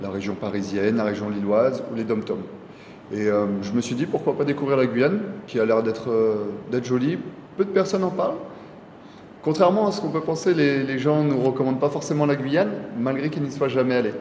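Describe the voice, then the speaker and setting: A man at a medium pitch makes very wide pitch swings and takes long, frequent pauses, with audible room echo and noticeable background noise. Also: fairly quick pace. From Burgundy, France (Nevers). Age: 30s. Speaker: PE teacher and amateur cyclist. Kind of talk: interview.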